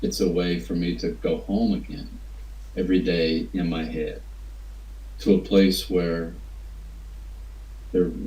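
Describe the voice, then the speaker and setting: With an Appalachian accent and a very deep, low pitch, a man speaks at a fairly slow pace with long, frequent pauses and audible room echo. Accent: Appalachian American. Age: 60s. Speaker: writer. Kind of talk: interview. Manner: halting.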